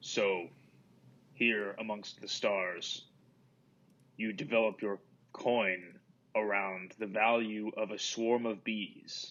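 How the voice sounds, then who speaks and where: A put-on character voice speaks at a very slow pace with a monotone, flat intonation. Long pauses come often. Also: man, fairly low pitch for a man. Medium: actual play.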